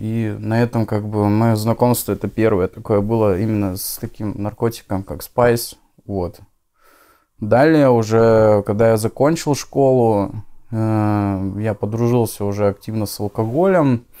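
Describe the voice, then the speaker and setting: Against a quiet background, a man with a dark, mellow tone and fairly low pitch speaks at a fairly slow pace with fairly even intonation. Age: 20s. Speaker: former drug addict in recovery. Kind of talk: interview testimony. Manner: casual, slangy. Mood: calm, subdued confessional. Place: home room. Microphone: lapel.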